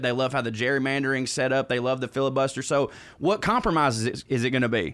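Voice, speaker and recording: A man with a Southern US accent, medium pitch and a fairly quick pace. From US South, Georgia. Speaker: comedian. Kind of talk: casual chat.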